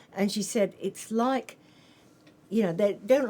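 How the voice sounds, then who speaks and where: A woman with an Australian accent talks at an even, middling speed. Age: 70s. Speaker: author and nurse. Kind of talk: interview.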